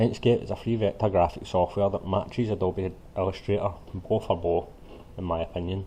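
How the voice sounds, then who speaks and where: A man's very deep, low voice with a Scottish accent, at a fairly quick pace and with fairly even intonation. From Scotland. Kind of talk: screen-recording software tutorial. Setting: poor-quality home mic.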